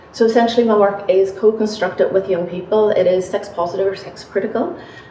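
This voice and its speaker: With a Northern Irish accent, a woman talks at a fairly quick pace with ordinary pitch variation. Audible room echo and noticeable background noise are present. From Northern Ireland, Belfast. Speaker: academic researcher. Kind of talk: panel talk. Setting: university seminar panel.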